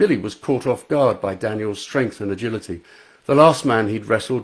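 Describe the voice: The clip is made up of plain reading aloud. Pitch shifts only in an ordinary way.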